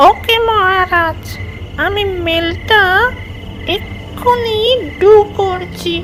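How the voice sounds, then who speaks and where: In a cartoonish character voice, the speaker talks at a very slow pace with an extremely high pitch, and clear background noise runs underneath. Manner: sycophantic, broken English mixing.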